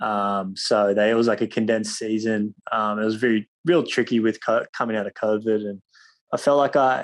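Over a quiet background, a man with an Australian accent talks at a moderate pace and a medium pitch. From Australia, Cronulla (Sydney). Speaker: professional surfer. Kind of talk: interview.

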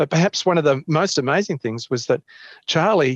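Against a quiet background, a man with an Australian accent is heard in a dry, close sound with no echo. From Australia, Canberra. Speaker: ecologist professor. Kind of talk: interview.

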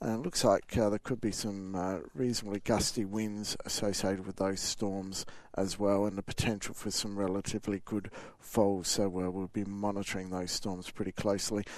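Man with a relaxed tone, fairly low in pitch, moderate pace, monotone and flat. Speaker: weather forecaster. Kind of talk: weather report, delivered as a live radio interview. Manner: relaxed, conversational, steady and matter-of-fact.

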